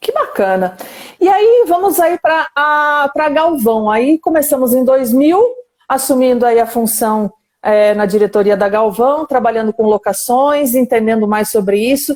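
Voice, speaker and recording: At a fairly slow pace, a woman uses lively intonation with a high pitch and very even loudness. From Brazil, countryside. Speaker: live stream host, company director. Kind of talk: live stream interview. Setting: online live stream.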